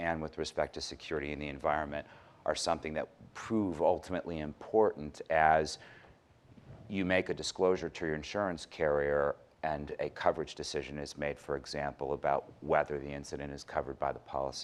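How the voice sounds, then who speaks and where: At a fairly quick pace, a man speaks with a very deep, low pitch and fairly even intonation. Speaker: cyber crime expert, former prosecutor. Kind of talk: conference panel talk. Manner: fast.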